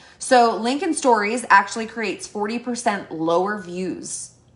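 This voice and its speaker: The delivery is animated. Noticeable background noise runs underneath. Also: woman. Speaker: network marketing team leader. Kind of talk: training presentation to team. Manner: fast.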